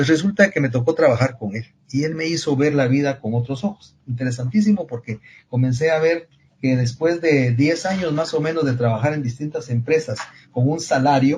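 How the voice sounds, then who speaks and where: Somewhat breathy, a man speaks at a fairly high pitch and moderate pace with ordinary pitch variation. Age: 70s. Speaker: engineering professor and consultant. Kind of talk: podcast interview.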